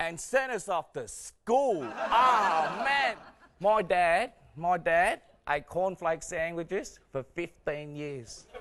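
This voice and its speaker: In an Australian accent, a man speaks very slowly at a high pitch with lively intonation. Noticeable background noise sits behind him. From Australia, arrived from Vietnam at nine. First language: Vietnamese. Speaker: comedian. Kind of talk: stand-up. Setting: stage with audience. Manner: animated.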